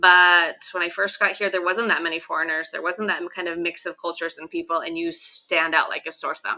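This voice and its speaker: In a Western US accent, the speaker delivers a bright, sharp tone with monotone, flat intonation, a fairly quick pace and hardly any pauses. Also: woman, fairly low pitch for a woman. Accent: American, western US. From Idaho, US. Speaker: teacher. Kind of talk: interview.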